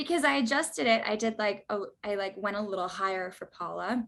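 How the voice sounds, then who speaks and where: With an East Coast accent, a woman speaks at a fairly quick pace, her medium pitch showing ordinary pitch variation. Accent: sounds East Coast. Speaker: actress. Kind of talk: interview. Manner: lots of fillers like 'like' and 'um'.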